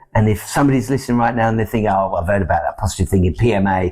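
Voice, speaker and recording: In a British accent, a man speaks with a fairly low pitch. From UK. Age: 60s. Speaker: success coach. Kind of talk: podcast interview. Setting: studio.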